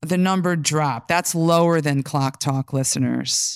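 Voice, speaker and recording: In a plain, everyday voice, a woman with an American accent and a fairly low pitch speaks at a fairly slow pace, in a dry, close sound with no echo on a very clean recording with a silent background. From New York. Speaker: podcast host and legal operations lead. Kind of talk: live panel moderation. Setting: stage with audience.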